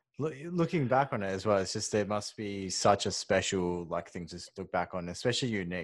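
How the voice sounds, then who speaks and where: With an Australian accent, a man speaks at a fairly quick pace in a fairly low pitch with lively intonation against a quiet background. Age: 20s. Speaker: podcast co-host. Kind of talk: interview. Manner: halting.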